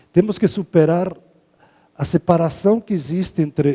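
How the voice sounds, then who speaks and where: Dark, mellow male voice at a fairly slow pace, ordinary pitch variation, dry, close sound with no echo. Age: 60s. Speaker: professor. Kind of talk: lecture.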